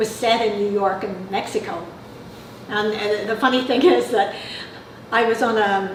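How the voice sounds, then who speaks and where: Pausing long and often, a woman with a fairly high pitch speaks at a moderate pace and fairly even intonation, with audible room echo and noticeable background noise. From Northern Ireland, Belfast. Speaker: mystery novelist. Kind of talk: interview. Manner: halting, many fillers.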